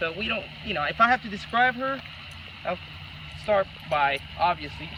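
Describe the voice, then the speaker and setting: A man speaks over noticeable background noise. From El Salvador, San Salvador. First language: Spanish. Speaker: couple applicant. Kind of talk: casual interview.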